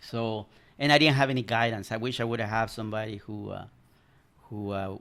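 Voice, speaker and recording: Talking at a fairly quick pace with fairly even intonation, a man speaks in a Spanish accent. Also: medium pitch for a man. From El Salvador. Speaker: commercial pilot. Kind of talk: casual interview. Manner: halting.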